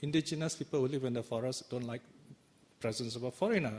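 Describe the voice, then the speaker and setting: The man's voice is somewhat breathy, at a medium pitch with ordinary pitch variation. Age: 60s. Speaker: Buddhist teacher. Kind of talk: dharma talk.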